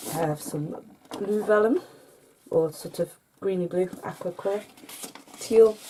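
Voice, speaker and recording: A woman with a British accent at a fairly slow pace, with long, frequent pauses, ordinary pitch variation and noticeable background noise. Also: medium pitch for a woman. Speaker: crafting YouTuber. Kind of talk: show-and-tell haul video. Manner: soft-spoken, can't speak up; hesitant with fillers.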